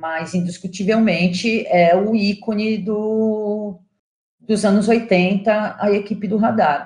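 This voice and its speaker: A woman speaks very slowly at a medium pitch, her voice somewhat breathy and her intonation fairly even. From São Paulo, Brazil. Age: 40s. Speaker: journalist and curator. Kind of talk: interview.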